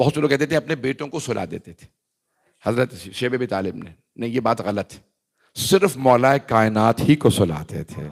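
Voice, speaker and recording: Dry and close with no echo, a man's medium-pitched voice with vocal fry moves at a moderate pace, its intonation lively and its loudness swinging widely. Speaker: Shia cleric giving majlis. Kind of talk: religious sermon (majlis). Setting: gathering with audience. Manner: emphatic.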